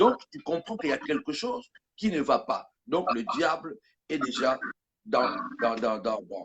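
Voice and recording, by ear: A man speaks at a fairly slow pace and medium pitch, with a slightly husky edge and big pitch swings.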